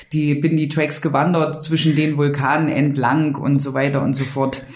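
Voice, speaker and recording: Amid noticeable background noise and audible room echo, a woman speaks at a fairly slow pace. Her very deep, low pitch stays monotone and flat. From eastern Germany, near Dessau. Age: 30s. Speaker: city tour guide. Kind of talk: casual interview chat.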